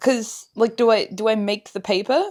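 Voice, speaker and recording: With a British accent, a woman speaks in a fairly high pitch on a very clean recording with a silent background. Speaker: craft vlogger. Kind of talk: casual vlog narration.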